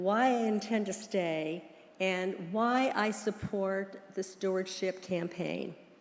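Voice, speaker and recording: With an American accent, a woman talks at a very slow pace. Audible room echo surrounds her voice. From US, Pittsburgh area. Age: 80s+. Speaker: church member. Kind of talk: testimony. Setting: church.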